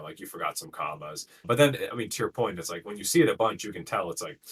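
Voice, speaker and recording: Vocal fry roughens a man's voice as his pitch makes very wide swings. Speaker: tech team vice president, guest. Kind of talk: casual chat. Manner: fast.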